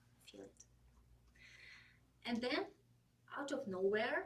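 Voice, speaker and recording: A woman's fairly high voice with a Russian accent and lively intonation. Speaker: public speaking club member. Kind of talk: prepared speech.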